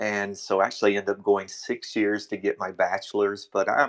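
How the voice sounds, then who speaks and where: A man with an American accent at a fairly low pitch and moderate pace, dry, close sound with no echo, and a very clean recording with a silent background. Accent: Southern US, tried to reduce. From US South, North Carolina (Durham). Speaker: teacher and coach. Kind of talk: casual chat.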